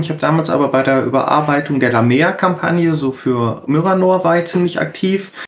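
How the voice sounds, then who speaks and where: A plain, everyday voice belongs to this man, pitched fairly high. His tempo is moderate, and his pitch varies in an ordinary way. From Ruhr area, Germany. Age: 40s. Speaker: role-playing game editor. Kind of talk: casual chat.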